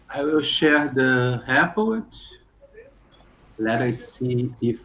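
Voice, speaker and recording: Against noticeable background noise, a man with a medium pitch speaks at a very slow pace, leaving long, frequent pauses. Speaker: programmer. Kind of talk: casual chat. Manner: halting.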